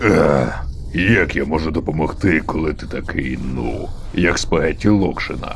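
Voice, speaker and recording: Putting on a character voice, a man speaks at a moderate pace in a very deep, low pitch, with clear background noise behind him. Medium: fan dub. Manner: terse, dry.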